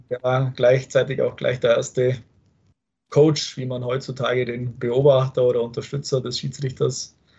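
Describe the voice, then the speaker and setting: A man with a medium pitch speaks at a moderate pace, sounding somewhat breathy. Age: 30s. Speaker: football referee. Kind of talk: interview.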